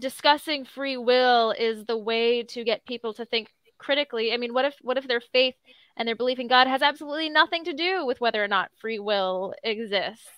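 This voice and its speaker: At a fairly quick pace, a woman talks in a high pitch with ordinary variation. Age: 20s. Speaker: co-host. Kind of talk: casual chat.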